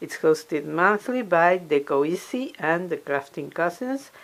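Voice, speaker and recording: Her voice is fairly low for a woman, with lively intonation. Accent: non-native. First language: not English. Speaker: crafter and DIY video maker. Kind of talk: tutorial. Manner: halting.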